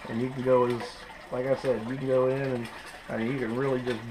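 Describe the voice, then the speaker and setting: A man's medium-pitched, monotone voice with flat intonation, fairly quick in pace, over noticeable background noise. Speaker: scale model hobbyist. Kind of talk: casual tutorial talk to camera. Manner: casual, hesitant.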